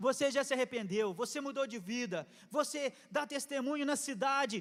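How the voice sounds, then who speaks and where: Pitch rises and falls in an ordinary way. The delivery has an animated tone. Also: man. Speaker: pastor. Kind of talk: sermon. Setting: church. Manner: fast.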